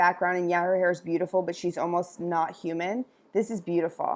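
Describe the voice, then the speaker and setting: A woman's medium-pitched voice, animated in tone and very fast, on a very clean recording with a silent background. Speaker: business coach for hairstylists. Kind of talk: website review tutorial.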